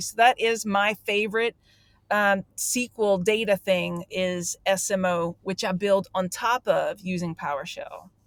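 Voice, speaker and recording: In a very clean recording with a silent background, a woman with a Louisiana accent sounds dry and close, with no echo. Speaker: database professional, tool creator. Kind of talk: casual interview chat. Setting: in a car.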